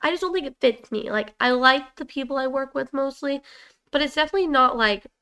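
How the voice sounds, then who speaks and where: A woman talks in a raised, projected voice at a high pitch. Her pace is very fast, with ordinary pitch variation. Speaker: podcast co-host. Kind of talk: casual chat.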